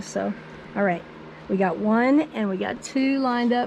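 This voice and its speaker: Noticeable background noise accompanies this woman, whose pitch varies in an ordinary way. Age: 70s. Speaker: quilt business owner. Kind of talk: tutorial. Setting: home studio.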